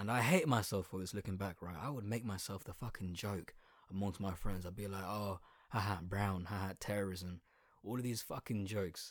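On a very clean recording with a silent background, a man with an Essex accent and a fairly low pitch talks at a fairly quick pace in an animated tone. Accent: Essex accent with slight London twang. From southeast England. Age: 20s. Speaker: podcaster. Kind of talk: monologue.

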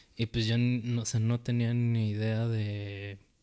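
A man speaks at a fairly slow pace, his medium-pitched voice dark and mellow in tone. The recording is very clean, with a silent background. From Mexico. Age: 20s. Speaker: rapper and video maker. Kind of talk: casual interview chat.

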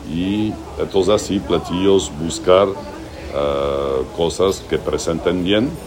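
A man's very deep, low voice at a very slow pace, with ordinary pitch variation and noticeable background noise. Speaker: chef and restaurant owner. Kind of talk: interview. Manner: halting, with repeated words.

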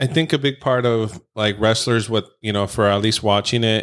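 Set against a silent background on a very clean recording, a plain, everyday voice moves at a moderate pace. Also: man. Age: 30s. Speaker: podcast host. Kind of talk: casual chat. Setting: in person, same room.

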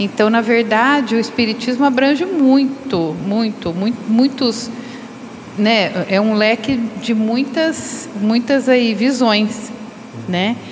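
Amid audible room echo and noticeable background noise, a woman with a fairly high pitch speaks very slowly, her pitch varying in an ordinary way and her loudness very even. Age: 60s. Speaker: spiritist study group participant. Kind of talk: group study discussion.

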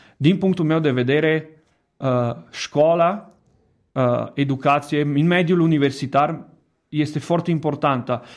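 A man's fairly high, fairly evenly intoned voice at a fairly slow pace, with long, frequent pauses and very even loudness, on a very clean recording with a silent background. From Italy. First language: Italian (speaking Romanian). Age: 30s. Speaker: education director. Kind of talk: radio interview. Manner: halting.

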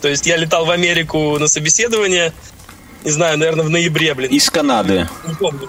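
A man with a high pitch speaks fairly quickly, his pitch varying in an ordinary way, while noticeable background noise carries on. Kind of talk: casual chat.

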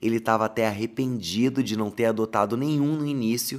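The recording is very clean, with a silent background. A man with a medium pitch speaks at a moderate pace. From Paraná countryside, Brazil. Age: 30s. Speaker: podcast host and content creator. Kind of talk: storytelling monologue. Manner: animated.

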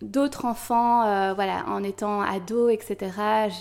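Moving at a very slow pace, a woman speaks at a medium pitch with a dark, mellow tone and fairly even intonation. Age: 30s. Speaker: mother sharing birth story. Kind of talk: testimony. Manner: hesitant, many fillers.

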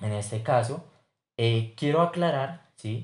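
Against a quiet background, a man talks at a fairly slow pace with a medium pitch. His intonation is lively and his voice somewhat breathy. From Colombia, Bogotá. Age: 20s. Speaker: business student. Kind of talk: class assignment podcast presentation.

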